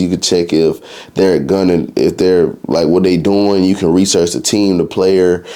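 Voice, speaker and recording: A man speaks in a very deep, low pitch with an animated tone. Noticeable background noise can be heard. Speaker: sports betting YouTuber. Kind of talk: casual explainer video. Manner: fast; casual, animated.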